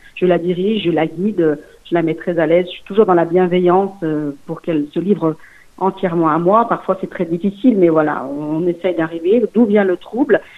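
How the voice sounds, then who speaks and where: A woman with an ordinary speaking voice talks at a fairly quick pace in a medium pitch, with ordinary pitch variation. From Lyon region, France (Portuguese parents). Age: 40s. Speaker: sex therapist and nurse. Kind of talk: interview. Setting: phone call.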